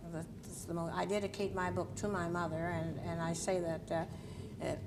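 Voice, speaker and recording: A woman's fairly low voice with a Nova Scotia accent, amid noticeable background noise and audible room echo. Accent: Canadian Maritime (Nova Scotia). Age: 70s. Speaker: journalist and civil rights activist, author. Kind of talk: TV talk show interview. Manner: halting.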